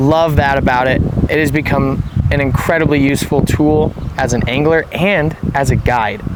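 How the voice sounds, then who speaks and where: A man's voice over noticeable background noise. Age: 20s. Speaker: fishing guide. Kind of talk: product review vlog. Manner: casual, conversational.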